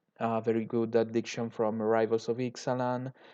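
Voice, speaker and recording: Speech in an Italian accent at a moderate pace against a quiet background. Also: man. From Italy. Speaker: YouTuber, card game content creator. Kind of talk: tutorial. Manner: halting, many fillers. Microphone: poor audio quality.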